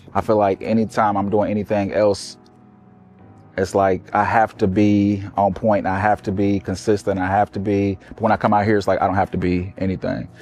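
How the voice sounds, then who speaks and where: A man speaks at a moderate pace, his fairly low voice monotone with flat intonation. Music plays in the background. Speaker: comedian and show founder. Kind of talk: interview.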